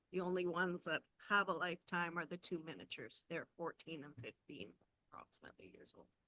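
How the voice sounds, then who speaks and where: A woman talks very fast with a fairly low pitch, ordinary pitch variation, vocal fry, a bright, sharp tone and big swings in loudness. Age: 60s. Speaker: resident delegation, animal keeper. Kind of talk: public delegation testimony.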